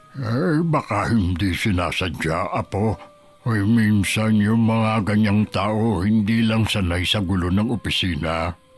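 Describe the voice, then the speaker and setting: Faint music plays in the background as someone speaks at a fairly slow pace in a put-on character voice. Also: man, fairly low pitch for a man. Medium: audio drama. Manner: calm, gentle.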